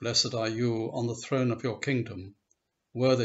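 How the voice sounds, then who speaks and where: Speaking at a moderate pace and medium pitch, a man sounds somewhat breathy, his intonation monotone and flat. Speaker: service leader. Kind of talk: liturgical prayer, read aloud from a set service text. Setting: church service recorded for online video. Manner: measured, solemn, reverent pace with even cadence. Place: home room. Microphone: webcam.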